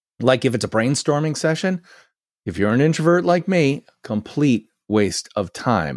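A man speaks at a moderate pace in an ordinary speaking voice with lively intonation. The recording is very clean with a silent background and a dry, close sound with no echo. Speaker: branding consultant and author. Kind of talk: casual interview chat. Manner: verbose and articulate.

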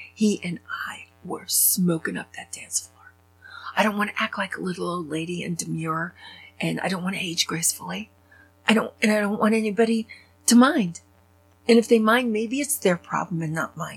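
A woman speaks with big swings in loudness. Her voice is somewhat breathy. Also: medium pitch for a woman, ordinary pitch variation, moderate pace. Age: 60s. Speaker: podcast host. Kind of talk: personal monologue. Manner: animated.

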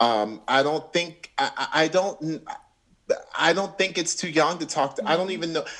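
In a bright, sharp tone, a high-pitched man speaks at a moderate pace with ordinary pitch variation. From Orlando, Florida. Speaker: Broadway actor and singer. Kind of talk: interview.

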